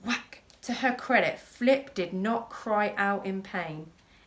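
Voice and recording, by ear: The text is read aloud in a natural voice that shows ordinary pitch variation.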